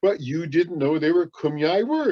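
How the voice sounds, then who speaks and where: Very wide pitch swings at a moderate pace, in an American accent. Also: man. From San Diego County backcountry, California. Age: 70s. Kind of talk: educational talk for children.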